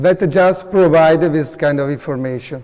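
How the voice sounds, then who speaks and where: Noticeable background noise sits behind a man speaking with an Italian accent. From Italy, Veneto region. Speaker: professor. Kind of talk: conference presentation and Q&A. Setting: conference room with audience. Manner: halting, many fillers.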